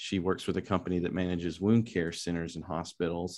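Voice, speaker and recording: In a West Texas accent, a man with a very deep, low pitch speaks at a moderate pace and with fairly even intonation against a quiet background. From West Texas, Lubbock. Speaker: philosophy professor. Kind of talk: interview.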